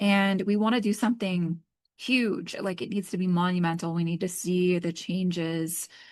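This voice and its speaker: In a quiet background, a woman speaks at a moderate pace and a medium pitch. It is a plain, everyday voice with fairly even intonation. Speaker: tarot and astrology reader. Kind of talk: oracle card reading. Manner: casual, filler-heavy.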